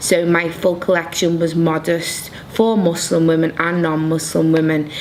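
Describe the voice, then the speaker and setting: A woman's fairly low voice in a Liverpool accent, monotone and flat, at very even loudness, with audible room echo and noticeable background noise. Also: moderate pace. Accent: Liverpool (Scouse) English. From Liverpool, England. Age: 30s. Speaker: fashion design graduate. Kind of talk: interview.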